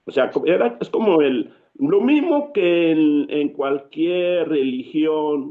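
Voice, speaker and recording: A man with a Cameroonian accent at a very slow pace. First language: Yambasa (speaking Spanish). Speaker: writer and storyteller. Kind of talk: interview.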